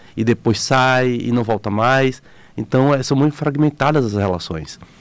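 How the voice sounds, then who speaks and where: A man's voice sits at a medium pitch. He keeps a moderate pace. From Bahia, Brazil. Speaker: photographer and explorer. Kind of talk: radio interview.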